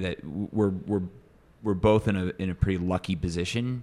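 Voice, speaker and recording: An ordinary speaking voice comes from a man with an American accent and a fairly low pitch. He talks at a moderate pace with fairly even intonation. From US Midwest. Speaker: advertising executive. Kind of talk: casual interview chat.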